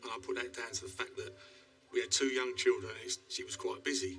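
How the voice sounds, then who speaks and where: At a very fast pace, a man talks. Background music plays behind him. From East End of London. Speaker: retired IT worker, audience member. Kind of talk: anecdote told to studio audience.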